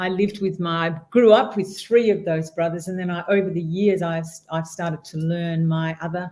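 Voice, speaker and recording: With an Australian accent, a woman speaks at a moderate pace. Her voice is medium in pitch and somewhat breathy. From Western Australia, rural wheat belt. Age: 60s. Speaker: guest speaker, entrepreneur. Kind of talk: interview conversation.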